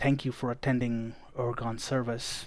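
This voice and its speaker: A man puts on a gruff, soft-spoken character voice at medium pitch, flat and monotone. He speaks at a moderate pace over a very clean, silent background. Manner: speaking softly.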